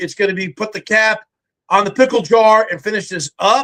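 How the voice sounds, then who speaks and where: The speaker uses a raised, projected voice with a bright, sharp tone at a moderate pace. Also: man. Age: 60s. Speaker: army veteran and reality TV survivalist. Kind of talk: interview chat; sales pitch. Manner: animated.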